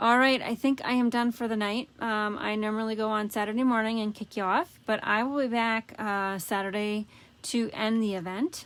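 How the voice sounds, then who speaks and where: A woman speaks at a moderate pace in a fairly high pitch, her intonation fairly even. It is an ordinary speaking voice. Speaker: paper craft demonstrator. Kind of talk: live craft tutorial. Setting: Facebook Live stream. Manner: casual, chatty.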